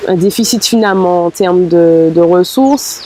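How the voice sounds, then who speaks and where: Ordinary pitch variation over noticeable background noise. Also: woman. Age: 20s. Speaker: musician and doctoral student. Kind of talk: interview testimony. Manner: hesitant, many fillers.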